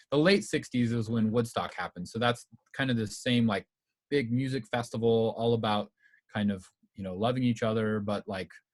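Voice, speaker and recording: Medium pitch from a man, in a dry, close sound with no echo. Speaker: music history presenter. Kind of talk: informal presentation. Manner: fast; casual, many fillers.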